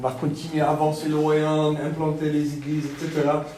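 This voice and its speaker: A man with a Texan accent speaks at a fairly high pitch and a moderate pace. Audible room echo and noticeable background noise fill the recording. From Texas. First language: English (speaking French). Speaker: pastor. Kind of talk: sermon. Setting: church. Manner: halting.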